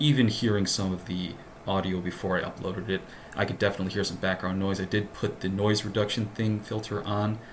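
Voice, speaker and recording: Fairly low-pitched male speech at a very fast pace, monotone and flat, with audible room echo and noticeable background noise. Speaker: LSAT tutor. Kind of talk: tutorial. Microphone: laptop mic.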